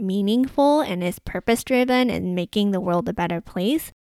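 In a very clean recording with a silent background, a woman with a Canadian accent uses an ordinary speaking voice, fairly high in pitch, with a dry, close sound and no echo. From Canada, Vancouver. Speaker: podcast host, sustainable fashion consultant. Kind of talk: solo podcast monologue.

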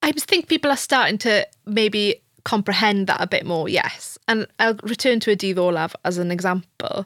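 Lively intonation from a woman at medium pitch, moderate pace with hardly any pauses, dry and close with no echo, in a very clean recording with a silent background. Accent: Welsh. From rural Wales. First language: Welsh. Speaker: university lecturer. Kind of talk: interview conversation.

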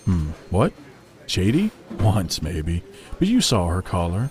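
A put-on character voice moves slowly with very wide pitch swings and a slightly mellow tone. Faint music plays in the background. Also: man, low pitch for a man.

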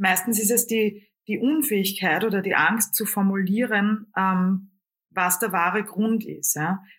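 A woman with an Austrian accent, at a fairly slow pace and a very even loudness. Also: medium pitch for a woman, ordinary pitch variation. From Lower Austria. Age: 40s. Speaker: singer, comedian and coach. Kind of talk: interview. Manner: hesitant fillers.

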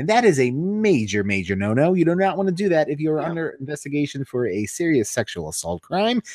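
A man races along at a very fast pace with hardly any pauses, his fairly high voice making very wide pitch swings. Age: 30s. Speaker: wrestling podcast co-host. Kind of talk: casual chat.

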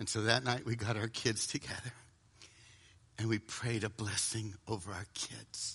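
A man with an American accent speaks at medium pitch and a moderate pace, his tone bright and sharp. His intonation is monotone and flat, broken by long, frequent pauses. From US South. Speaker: preacher. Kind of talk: sermon.

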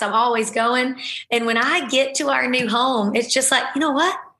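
With audible room echo, a woman speaks at a high pitch and a moderate pace, her bright, sharp tone holding very even loudness and ordinary pitch variation. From Alabama. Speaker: podcast host, military spouse. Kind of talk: casual interview.

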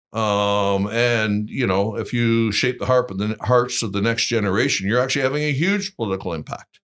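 A man with a Canadian accent speaks at a fairly quick pace, with a plain, everyday voice. His pitch is medium, with ordinary pitch variation. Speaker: think tank executive. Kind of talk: interview.

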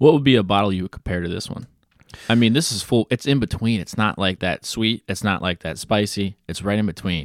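This man has an unremarkable speaking voice, fairly low in pitch with ordinary pitch variation, and he talks at a fairly quick pace. The sound is dry and close with no echo, a very clean recording over a silent background. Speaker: guest, whiskey beginner. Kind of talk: casual chat.

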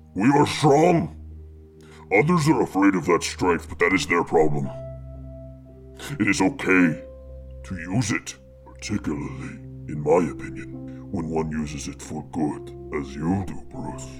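With clear music in the background, a man puts on a character voice with a very deep, low pitch at a moderate pace. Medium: actual play. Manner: halting, struggles with common tongue; warm, fatherly, calm.

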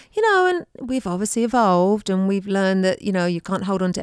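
Speaking very fast with an English accent and ordinary pitch variation, a woman comes through a very clean recording with a silent background and a dry, close sound with no echo. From England. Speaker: podcast co-host and tapping coach. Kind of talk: casual chat.

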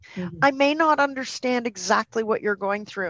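A woman speaks with a Canadian accent in a bright, sharp tone and ordinary pitch variation. The sound is dry and close with no echo. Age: 50s. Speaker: dog behaviour consultant and trainer. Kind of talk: podcast interview.

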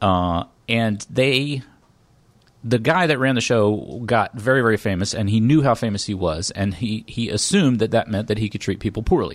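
Medium in pitch, this man has an unremarkable speaking voice. He talks at a moderate pace with lively intonation. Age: 40s. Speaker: comedy writer and live show host. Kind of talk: casual interview chat.

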